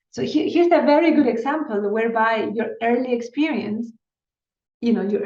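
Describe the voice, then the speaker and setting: Against audible room echo, a woman with a Spanish accent talks at a fairly quick pace, her fairly high voice dark and mellow in tone with lively intonation. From Chile. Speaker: neuroscientist. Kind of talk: interview. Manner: halting, many repetitions and fillers.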